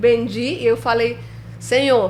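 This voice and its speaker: A woman with a Spanish accent at a fairly slow pace, over noticeable background noise. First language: Spanish (speaking Portuguese). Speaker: filmmaker. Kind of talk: interview storytelling.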